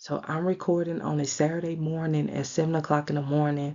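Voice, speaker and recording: This soft-spoken woman talks in a very deep, low pitch with monotone, flat intonation. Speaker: radiology exam tutor. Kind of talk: tutorial. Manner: soft-spoken, talking low.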